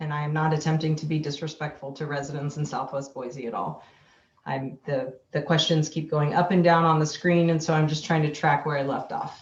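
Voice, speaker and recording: The speaker has a somewhat breathy voice with monotone, flat intonation and a fairly quick pace. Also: woman, very deep, low pitch for a woman. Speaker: city parks official. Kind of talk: public meeting Q&A. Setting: video call. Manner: hesitant, many fillers.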